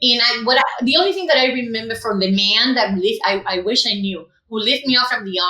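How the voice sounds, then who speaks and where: This woman speaks with a Cuban accent at a moderate pace. Her tone is bright and sharp, and her pitch sits fairly high. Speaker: educator. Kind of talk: interview testimony. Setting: podcast.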